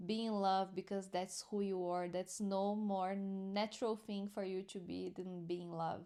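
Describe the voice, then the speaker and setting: At a very slow pace, a woman with a non-native accent talks in a flat monotone. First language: not English. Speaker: spiritual teacher. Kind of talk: spiritual commentary and teaching. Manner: halting.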